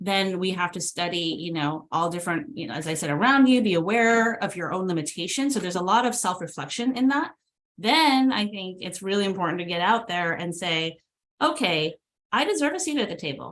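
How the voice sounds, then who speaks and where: With lively intonation, a woman talks at a fairly quick speed. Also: medium pitch for a woman. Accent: Californian. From California, San Jose. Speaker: transportation agency executive director. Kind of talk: fireside chat interview.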